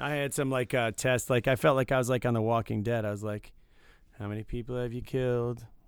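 A man with an American accent, medium pitch and fairly even intonation at a very fast pace, on a very clean recording with a silent background. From Michigan, suburban Detroit. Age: 40s. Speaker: podcast co-host. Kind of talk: casual chat.

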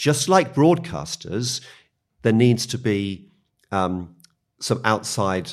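On a very clean recording with a silent background, a man speaks in a British accent at a medium pitch. His pace is very slow, with long, frequent pauses and very wide pitch swings. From UK. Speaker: media policy executive. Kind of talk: podcast interview.

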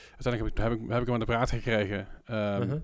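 Talking very rapidly, the man is captured on a very clean track with dead-silent surroundings. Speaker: podcast host. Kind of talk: casual chat. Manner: rambling, halting with filler words.

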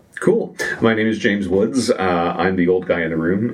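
Delivered at a moderate pace with ordinary pitch variation, the speech sits over noticeable background noise. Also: man. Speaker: podcast host. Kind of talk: casual chat. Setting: studio.

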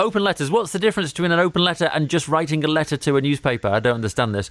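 Very fast and lively in intonation, the voice has a British accent on a very clean recording with a silent background. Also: man. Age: 40s. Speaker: radio presenter and podcast co-host. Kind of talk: casual chat.

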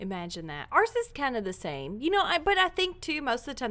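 A woman's bright, sharp American accent with vocal fry and very wide pitch swings. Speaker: podcast host. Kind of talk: casual chat.

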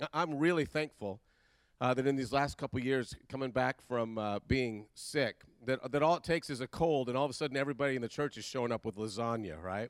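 This man has an ordinary speaking voice at medium pitch, talking at a fairly quick pace with ordinary pitch variation, recorded very cleanly with a silent background and a dry, close sound with no echo. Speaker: pastor. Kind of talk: sermon introduction and announcements. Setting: church.

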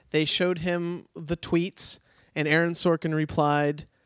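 The intonation is monotone and flat, captured on a very clean recording with a silent background and a dry, close sound with no echo. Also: man. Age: 20s. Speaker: comedy head writer. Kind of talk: casual chat. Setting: studio.

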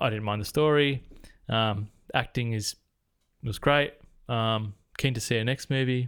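The very clean recording, with a silent background, presents a man's bright, sharp tone and ordinary pitch variation. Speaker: podcast co-host, movie reviewer. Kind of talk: casual chat. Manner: fast when giving score.

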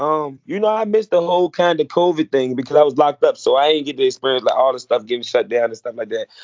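A man speaks at a very fast pace with hardly any pauses. His fairly high voice has lively intonation. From Richmond, Virginia. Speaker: rapper. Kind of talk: interview.

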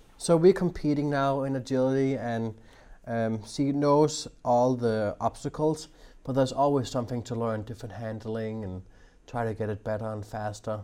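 A man with a Danish accent and a dark, mellow tone, on a very clean recording with a silent background. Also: medium pitch for a man, ordinary pitch variation, moderate pace. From Denmark. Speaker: dog trainer. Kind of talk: interview.

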